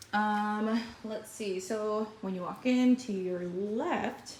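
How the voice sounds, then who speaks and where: There is noticeable background noise as a woman speaks at medium pitch with fairly even intonation. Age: 20s. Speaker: lifestyle vlogger. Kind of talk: home tour vlog. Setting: at home. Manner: casual, filler-heavy.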